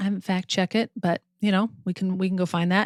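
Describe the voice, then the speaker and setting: Recorded very cleanly with a silent background and a dry, close sound with no echo, a woman with a normal speaking voice talks fairly quickly at a medium pitch. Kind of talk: podcast co-host discussion.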